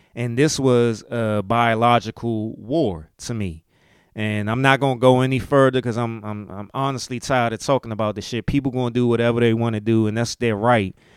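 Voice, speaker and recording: A man with a Maryland accent talks in an animated tone at medium pitch and a fairly quick pace. The recording is very clean, with a silent background. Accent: Southern-tinged Maryland US. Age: 40s. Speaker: podcast host. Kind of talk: casual monologue podcast. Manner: casual, animated.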